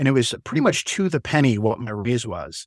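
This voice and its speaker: The speaker talks fairly quickly with an American accent and lively intonation. The recording is very clean and dry, close, with no echo and a silent background. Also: man. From Chicago, US Midwest. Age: 40s. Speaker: small business owner. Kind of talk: interview.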